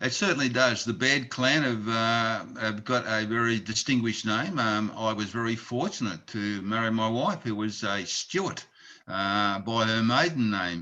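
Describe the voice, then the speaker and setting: A man's bright, sharp voice at a moderate pace, with ordinary pitch variation and hardly any pauses. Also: medium pitch for a man. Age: 70s. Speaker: charity president and retired plumber. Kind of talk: interview.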